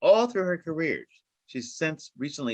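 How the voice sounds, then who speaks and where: At a moderate pace, a man with a plain, everyday voice and a fairly high pitch talks in a dry, close sound with no echo. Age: 50s. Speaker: finance executive and former banker. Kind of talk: panel discussion.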